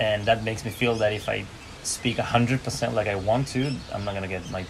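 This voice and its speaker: A man at a fairly low pitch and fairly quick pace, with fairly even intonation, noticeable background noise, and audible room echo. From Chile. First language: Spanish. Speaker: podcast guest. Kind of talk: casual chat.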